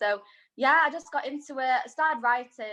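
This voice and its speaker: Someone with a Manchester accent speaks over a quiet background. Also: woman. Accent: Mancunian. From Manchester, northern England. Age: 20s. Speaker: singer-songwriter. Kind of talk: casual interview chat. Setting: video call.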